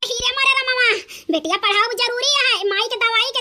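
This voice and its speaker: Using a cartoonish character voice, a woman speaks fairly quickly at an extremely high pitch with fairly even intonation. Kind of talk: comic cartoon dub.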